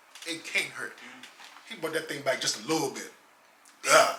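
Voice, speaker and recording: A man talks with an American accent, his voice picking up audible room echo amid noticeable background noise. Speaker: former basketball player. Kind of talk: casual interview. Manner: quiet, reserved.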